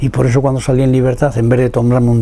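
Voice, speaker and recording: Noticeable background noise behind a man's medium-pitched voice. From Spain, Salamanca then Madrid. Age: 90s. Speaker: poet and former political prisoner. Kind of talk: interview testimony. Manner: halting, with repetitions.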